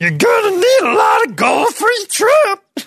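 A put-on character voice, extremely high in pitch, at a moderate pace. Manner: jolly, storyteller.

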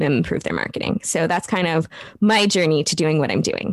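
With an American accent, a woman talks at a fairly quick pace with ordinary pitch variation on a very clean recording with a silent background. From US Midwest. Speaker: copywriter and marketing business owner. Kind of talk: casual interview.

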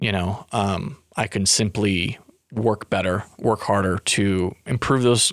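An ordinary speaking voice from a man, fairly low in pitch, with fairly even intonation. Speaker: podcast co-host. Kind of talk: casual chat. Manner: joking, playful.

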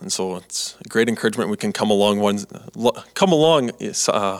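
A man with a Canadian accent, fairly low in pitch, with ordinary pitch variation. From Canada. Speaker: student podcast host. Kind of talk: casual interview. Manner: halting.

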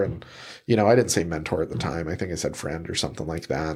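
Over a silent background in a very clean recording, a man speaks with an American accent and ordinary pitch variation. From Utah, Salt Lake City. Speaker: real estate agent. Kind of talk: interview conversation. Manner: relaxed.

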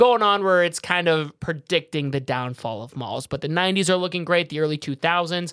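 A man's high-pitched voice, bright and sharp in tone, at a moderate pace with hardly any pauses. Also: ordinary pitch variation. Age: 20s. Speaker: podcast host. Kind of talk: casual chat.

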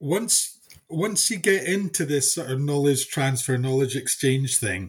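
Speech comes at a very slow pace with a Scottish accent. The intonation is lively and the voice somewhat breathy. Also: man. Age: 50s. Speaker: farmer and agricultural consultant. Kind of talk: casual interview chat.

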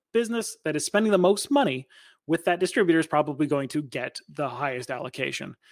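An ordinary speaking voice with ordinary pitch variation. The recording is very clean, silent in the background, and dry and close with no echo. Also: man. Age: 30s. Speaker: podcast host. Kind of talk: solo podcast commentary.

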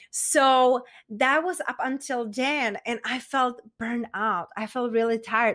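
Over a very clean recording with a silent background, a woman speaks in a Czech accent at a fairly slow pace with hardly any pauses, using a high pitch, a bright, sharp tone, ordinary pitch variation and an enthusiastic tone. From Czech Republic. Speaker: meditation and confidence coach. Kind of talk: casual interview.

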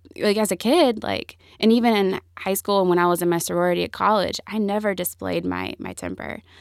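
A woman speaks in a Southern US accent. Her pace is moderate. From US South, Greenville, South Carolina. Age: 20s. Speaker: entrepreneur. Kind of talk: interview.

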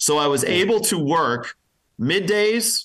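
A man speaks with a bright, sharp tone. His intonation is lively. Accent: American. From Pennsylvania. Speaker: radio personality. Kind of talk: interview.

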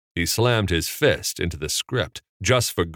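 A quiet background behind plain reading aloud

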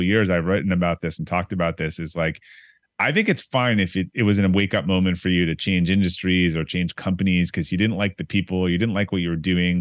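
Talking at a very fast pace, a man with a very deep, low pitch speaks with an American accent. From Boston area (Brookline), Massachusetts. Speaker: entrepreneur and author. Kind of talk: podcast interview.

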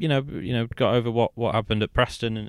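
Fairly even intonation from a man going at a very fast pace. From Leeds, England. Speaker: football journalist, stand-in co-host. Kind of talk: casual chat.

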